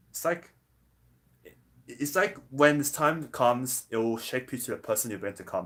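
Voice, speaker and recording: A man's voice with ordinary pitch variation on a very clean recording with a silent background. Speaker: vlogger. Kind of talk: motivational vlog monologue. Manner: fast.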